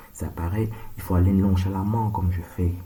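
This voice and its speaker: Soft-spoken and calm, a man with a very deep, low pitch talks at a fairly slow pace with ordinary pitch variation, amid noticeable background noise and audible room echo. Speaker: surgeon making monologue videos. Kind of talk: monologue video rant. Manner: slow, calm.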